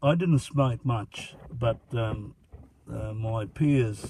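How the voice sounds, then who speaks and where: A man with an Australian accent speaks at a medium pitch and a very slow pace. Noticeable background noise is audible behind him. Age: 70s. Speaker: grandfather interviewed by grandson. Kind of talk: casual interview. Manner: halting, many fillers.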